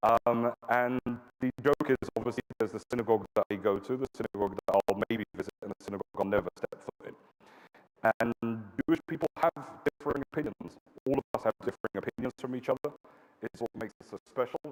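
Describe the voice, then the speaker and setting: At a fairly quick pace, a man with a British accent and medium pitch speaks with ordinary pitch variation in a dry, close sound with no echo. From London, England. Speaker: public speaker and political commentator. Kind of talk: public talk. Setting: stage with audience. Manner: hesitant with fillers.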